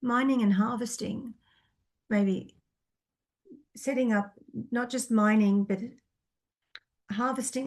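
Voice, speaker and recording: Here a woman speaks at a moderate pace. Her voice is somewhat breathy, with fairly even intonation. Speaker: psychic reader. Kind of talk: Q&A monologue answering viewer questions. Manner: hesitant, many fillers.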